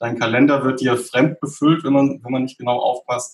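A man's monotone, flat intonation holds as he moves at a moderate tempo. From southern Germany, Stuttgart area. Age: 30s. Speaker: software developer. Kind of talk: casual interview. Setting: home office.

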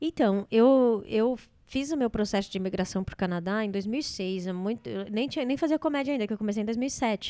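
A woman speaks at a fairly quick pace in a fairly high pitch, her dark, mellow tone carried by lively intonation on a very clean recording with a silent background. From Brazil. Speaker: comedian. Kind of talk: casual chat.

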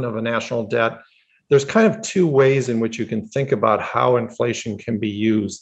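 A man at medium pitch with ordinary pitch variation, an unremarkable speaking voice. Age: 60s. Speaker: economist. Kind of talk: podcast interview.

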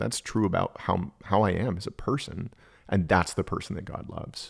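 Recorded very clean with a silent background and a dry, close sound with no echo, a man in a normal speaking voice with an American accent speaks at a moderate pace, his pitch fairly low with ordinary variation. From Texas. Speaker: spiritual director. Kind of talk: casual chat.

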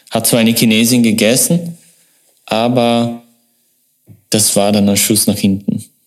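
A man's medium-pitched voice at a fairly slow pace, with long, frequent pauses, very even loudness and ordinary pitch variation. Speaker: marketing agency owner. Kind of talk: interview. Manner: halting.

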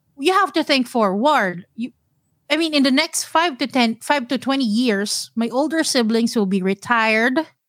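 Speaking with a Filipino accent, a woman uses a high pitch and lively intonation at a moderate pace. The recording is very clean with a silent background and a dry, close sound with no echo. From Philippines, Manila (Mandaluyong). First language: Tagalog. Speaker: personal finance podcaster. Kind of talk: casual interview.

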